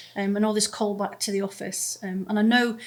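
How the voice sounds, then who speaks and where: In a very clean recording with a silent background, a woman with a medium pitch and a somewhat breathy voice speaks at a fairly quick pace in a monotone, flat intonation. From Scotland. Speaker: family lawyer and podcast host. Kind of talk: casual podcast chat. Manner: hesitant, many fillers.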